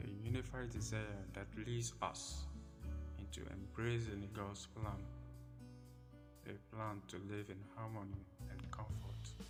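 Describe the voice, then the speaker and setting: A man speaks at a very slow pace with long, frequent pauses, music playing in the background. His pitch is very deep and low, yet it makes very wide swings. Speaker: poet, spoken word artist. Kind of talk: spoken word poetry reading.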